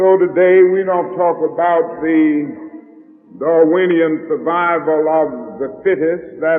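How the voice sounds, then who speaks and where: Music plays in the background. A man speaks very slowly at a high pitch, with fairly even intonation. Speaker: preacher. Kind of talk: sermon delivered to a congregation.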